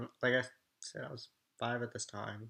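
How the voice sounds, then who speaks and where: Bright and sharp in tone, a man speaks at a medium pitch. His intonation is monotone and flat. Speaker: vlogger. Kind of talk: personal testimony. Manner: halting.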